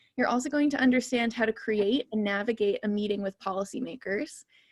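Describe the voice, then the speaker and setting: A woman with a fairly high pitch and a somewhat breathy voice speaks at a fairly quick pace. Her intonation stays fairly even, and the sound is dry and close with no echo. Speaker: geoscientist and science policy fellow. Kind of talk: online talk presentation. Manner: fast.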